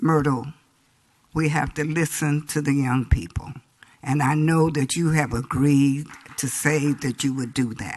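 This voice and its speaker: A woman's very deep, low voice at a fairly slow pace, with fairly even intonation. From San Diego, California. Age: 80s+. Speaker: community elder and public commenter. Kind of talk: public comment speech. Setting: city council chamber.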